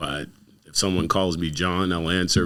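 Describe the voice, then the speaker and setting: A very deep, low male voice with a bright, sharp tone. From Windsor, Ontario, Canada. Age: 60s. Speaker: community activist and youth worker. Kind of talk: casual interview.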